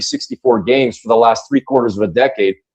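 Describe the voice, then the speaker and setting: A man with a plain, everyday voice, medium pitch and ordinary pitch variation, in a dry, close sound with no echo. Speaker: basketball radio play-by-play broadcaster. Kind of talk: interview answer.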